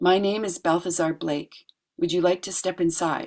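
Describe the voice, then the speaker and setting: At a moderate pace, a raspy put-on character voice sits at a middle pitch. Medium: read story. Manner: steady, measured, deliberate.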